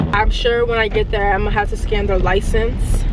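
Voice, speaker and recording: A woman speaks at a very fast pace. The sound is dry with no echo, but loud background noise is present. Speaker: delivery driver vlogger. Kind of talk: casual vlog chat. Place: car. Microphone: phone near.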